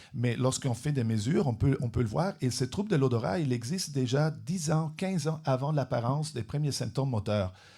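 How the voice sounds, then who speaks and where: A somewhat breathy, dark, mellow voice in a non-native accent, fairly quick and very even in loudness with hardly any pauses, in a very clean recording with a silent background. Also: man, medium pitch for a man, ordinary pitch variation. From Europe. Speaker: neuroscience researcher, professor. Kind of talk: interview. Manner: halting, many repetitions.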